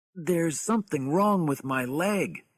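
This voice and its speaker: Using a put-on character voice, a man speaks at a moderate pace and a fairly high pitch. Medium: read story.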